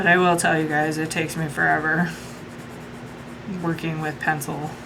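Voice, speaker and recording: A woman with an American accent and a very deep, low pitch, amid noticeable background noise and audible room echo. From US Midwest. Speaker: coloring YouTuber. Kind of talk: casual chat. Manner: chatty, filler-heavy.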